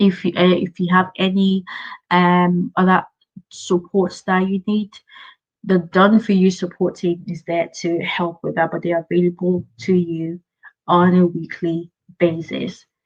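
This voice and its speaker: Somewhat breathy and with monotone, flat intonation, a woman speaks at a fairly slow pace. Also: fairly low pitch for a woman. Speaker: business coach. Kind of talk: live Q&A webinar.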